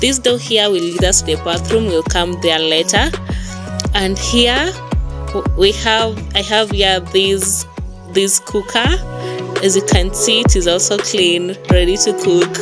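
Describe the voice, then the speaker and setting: Clear music plays in the background as the speaker goes at a fairly slow pace. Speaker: host showing her apartment. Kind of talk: casual vlog chat. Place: home room. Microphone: phone near.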